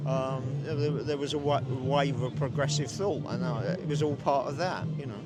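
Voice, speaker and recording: A man with a fairly high pitch speaks at a moderate pace with fairly even intonation. Audible room echo and noticeable background noise fill the recording. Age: 70s. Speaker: protester. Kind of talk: street interview. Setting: outdoors at a protest. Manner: halting.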